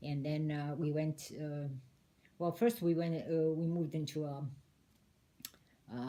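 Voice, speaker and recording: With a Detroit accent, the talk comes at a fairly slow pace with fairly even intonation and long, frequent pauses. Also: woman, very deep, low pitch for a woman. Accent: Midwestern American (Detroit). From Detroit, Michigan, US. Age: 70s. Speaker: interviewee, immigrant great-aunt. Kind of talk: casual interview.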